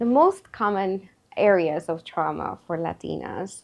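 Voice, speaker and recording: Over a quiet background, a woman speaks at a fairly slow pace with a Spanish accent. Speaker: therapist. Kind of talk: interview testimony. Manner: halting, with fillers.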